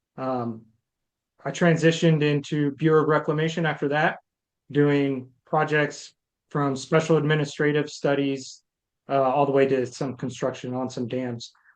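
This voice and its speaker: The intonation stays fairly even against a quiet background. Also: man, fairly high pitch for a man. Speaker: candidate, Air Force veteran and project management teacher. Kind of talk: self-introduction in online meeting. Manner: fast.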